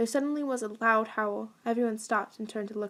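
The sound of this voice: This is an unforced reading voice. It carries the text along.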